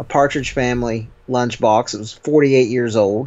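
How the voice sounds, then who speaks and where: A man speaks in an unremarkable speaking voice at a medium pitch and a fairly slow pace, with ordinary pitch variation. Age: 30s. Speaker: podcast co-host. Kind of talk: casual chat.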